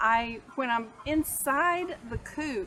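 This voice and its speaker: A woman talks with a Texas accent. Her intonation is lively. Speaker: homesteader. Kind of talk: tutorial. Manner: hesitant, many fillers.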